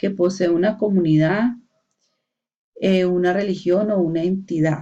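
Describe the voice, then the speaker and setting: Her tone dark and mellow, a woman speaks at a very slow pace with a medium pitch and ordinary pitch variation. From Colombia, Valle del Cauca (Palmira). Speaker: university student. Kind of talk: class assignment presentation. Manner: hesitant, many fillers.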